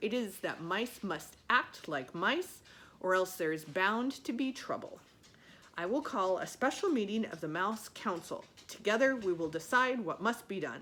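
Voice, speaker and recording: At a moderate pace, a female-sounding voice performs a put-on character voice at a medium pitch for a woman. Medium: read story. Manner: dramatic.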